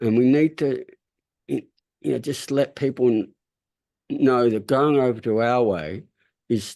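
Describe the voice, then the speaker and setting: Over a quiet background, a man with an Australian accent talks at a fairly slow pace in a dark, mellow tone, at medium pitch with ordinary variation. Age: 70s. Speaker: farmer and interviewer. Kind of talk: interview discussion. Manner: halting.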